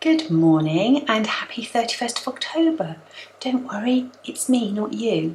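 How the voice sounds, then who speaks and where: Over noticeable background noise, a woman with an English accent and a high pitch speaks fairly slowly in a relaxed tone, with very wide pitch swings. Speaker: knitting vlogger. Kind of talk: casual vlog chat. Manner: relaxed, chatty.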